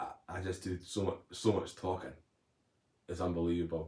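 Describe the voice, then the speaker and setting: A man's very deep, low voice, dark and mellow in tone and somewhat breathy, with monotone, flat intonation at a moderate pace. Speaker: motivational speaker, recovered addict. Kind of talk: live stream chat. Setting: live stream at home.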